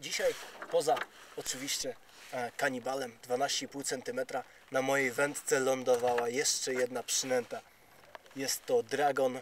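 A man speaks very slowly in a flat monotone. The sound is dry with no echo, and there is light background noise. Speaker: fishing vlogger. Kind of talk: casual vlog chat. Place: boat. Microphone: phone near.

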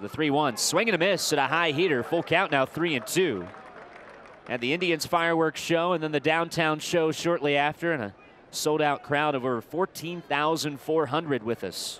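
A fairly high-pitched man at a moderate pace with ordinary pitch variation, crowd noise in the background. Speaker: baseball broadcaster. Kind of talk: live sports commentary, play-by-play. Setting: stadium broadcast booth.

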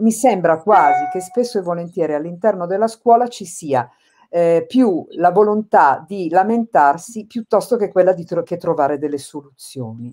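With lively intonation, a woman keeps to a moderate pace. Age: 60s. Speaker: special education teacher; support teacher interviewee. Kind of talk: interview. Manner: halting. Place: home room. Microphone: video call.

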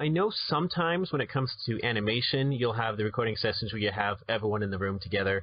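A man of medium pitch talks at a very fast pace with hardly any pauses, very even loudness and lively intonation. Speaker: podcast host. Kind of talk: interview.

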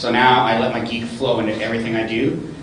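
A man with audible room echo and noticeable background noise. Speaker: public speaking club president. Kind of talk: panel discussion. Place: hall.

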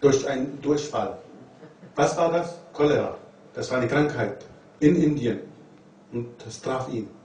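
A man talks at a fairly slow pace with ordinary pitch variation. His loudness swings widely, and there is audible room echo. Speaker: religious lecturer. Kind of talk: lecture. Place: classroom.

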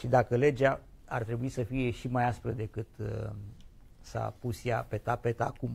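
The voice moves at a fairly slow pace with monotone, flat intonation. Vocal fry runs through it. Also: man, medium pitch for a man. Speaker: TV talk show host. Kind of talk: live TV studio debate. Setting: TV studio. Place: studio. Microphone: lapel.

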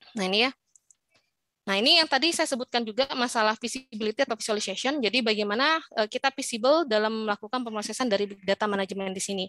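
A woman talks at a very fast pace with a bright, sharp tone and a fairly high pitch. Her pitch varies in an ordinary way, and the sound is dry with no echo. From Indonesia. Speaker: informatics lecturer. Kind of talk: lecture. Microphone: video call.

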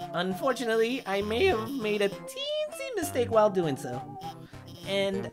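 A man's high-pitched, put-on character voice at a moderate pace, with clear music in the background. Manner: rambling, awkward, self-deprecating.

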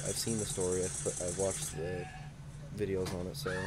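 A man is speaking. Loud background noise is heard behind him. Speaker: gamer video creator. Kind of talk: casual gameplay commentary. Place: home room.

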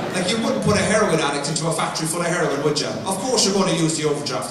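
Here a man speaks at a high pitch. Audible room echo and light background noise are present. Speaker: stand-up comedian. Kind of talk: stand-up comedy routine. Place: stage.

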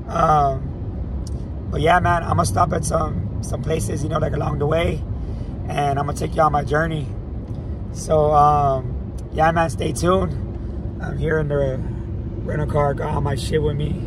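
A man at a moderate pace, with long, frequent pauses, dry sound without echo and noticeable background noise. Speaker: vlogger. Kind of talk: casual vlog chat. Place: car. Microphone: phone near.

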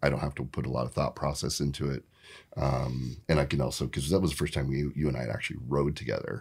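In an American accent, a man speaks with a very deep, low pitch and vocal fry. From US Pacific Northwest, Vancouver, Washington. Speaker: splitboarder and avalanche instructor. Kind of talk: casual interview. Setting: studio.

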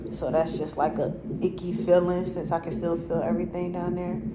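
Loud background noise behind a woman's voice. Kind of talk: casual vlog chat. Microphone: phone near.

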